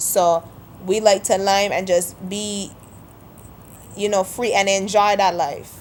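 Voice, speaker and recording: A woman's medium-pitched, monotone, flat delivery at a fairly slow pace with long, frequent pauses. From St Kitts (Sandy Point, Frigate Bay area). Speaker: video blogger. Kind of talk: casual vlog monologue.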